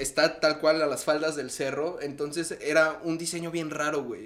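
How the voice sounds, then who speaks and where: Someone speaks at a moderate pace with a Mexico City accent. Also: man. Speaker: podcast co-host. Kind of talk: casual chat.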